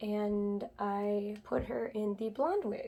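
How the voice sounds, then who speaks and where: Soft-spoken, a woman talks at a medium pitch. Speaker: doll collector vlogger. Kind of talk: casual vlog chat. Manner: quiet, soft-spoken; hesitant, many fillers.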